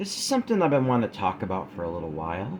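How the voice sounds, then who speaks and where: A man with a medium-pitched voice races along at a very fast pace. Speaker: YouTuber discussing workplace issues. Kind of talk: discussion monologue. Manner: casual, halting at times.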